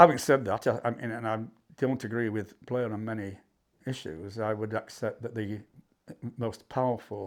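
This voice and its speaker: With a Yorkshire accent, a man talks at a moderate pace in a fairly low pitch with ordinary pitch variation. The recording is very clean, with a silent background. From Yorkshire, Barnsley. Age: 70s. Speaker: history professor. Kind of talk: interview. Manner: halting.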